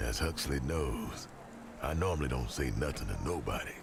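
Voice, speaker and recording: Over loud background noise, a man uses a gruff, put-on character voice at a moderate pace. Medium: video game. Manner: slangy, gruff, coughing.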